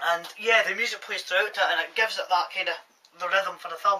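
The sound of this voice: Fast talk from a man with a bright, sharp tone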